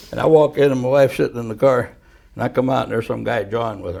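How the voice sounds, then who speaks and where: Talking at a very fast pace, a man shows vocal fry, a medium pitch and ordinary pitch variation. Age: 70s. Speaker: person in recovery from addiction. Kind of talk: storytelling. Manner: animated.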